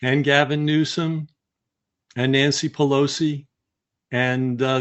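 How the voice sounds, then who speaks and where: A man speaks in a plain, everyday voice at medium pitch, his intonation fairly even. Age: 60s. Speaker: author and history guest. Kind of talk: interview.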